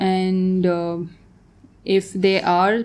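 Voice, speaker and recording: A woman's medium-pitched voice, dark and mellow in tone, with fairly even intonation. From Tanzania. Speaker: painter. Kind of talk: casual chat.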